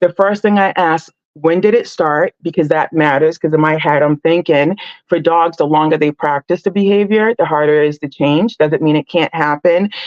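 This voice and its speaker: Her voice a plain, everyday voice, a woman speaks at a moderate pace with fairly low pitch and very even loudness. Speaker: dog trainer. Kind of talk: live stream tutorial. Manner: casual with many fillers.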